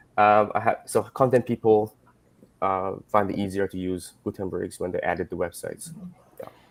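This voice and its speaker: A fairly low male voice with a non-native accent, moderate pace, ordinary pitch variation and big swings in loudness, dry and close with no echo. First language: not English. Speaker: web developer. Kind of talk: live stream panel discussion.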